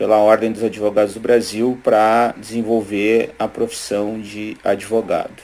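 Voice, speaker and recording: Delivery comes at a fairly slow pace with hardly any pauses. The intonation is monotone and flat. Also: man, medium pitch for a man. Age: 40s. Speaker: lawyer. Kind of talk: testimony.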